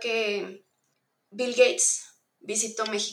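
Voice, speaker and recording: Speaking very slowly, a woman uses a fairly high voice. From northern Mexico, Monterrey. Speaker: UX researcher. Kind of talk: interview.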